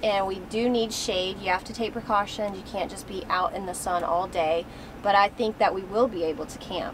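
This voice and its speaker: A woman at a moderate pace, with ordinary pitch variation, big swings in loudness and light background noise. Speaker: travel vlogger. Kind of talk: casual vlog chat. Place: car.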